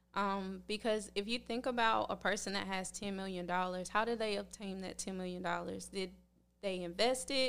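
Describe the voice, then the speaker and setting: In an American accent, a woman talks in an ordinary speaking voice at medium pitch, with fairly even intonation and a moderate pace, on a very clean recording with a silent background. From North Carolina. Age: 20s. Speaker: physical therapy student. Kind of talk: casual chat.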